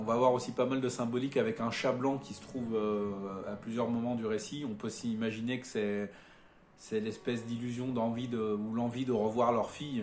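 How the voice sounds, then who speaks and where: In a room with audible echo, a man speaks at a moderate pace with medium pitch and monotone, flat intonation. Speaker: film reviewer. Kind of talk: film review monologue. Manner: halting, many repetitions and fillers.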